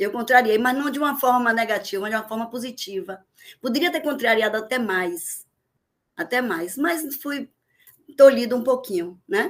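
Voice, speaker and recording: A woman talks in a Bahian accent with a high pitch and lively intonation. Her pace is moderate. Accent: Bahian Brazilian Portuguese. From Bahia, Brazil (Vitória da Conquista, then Salvador). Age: 60s. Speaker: teacher. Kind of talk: podcast interview.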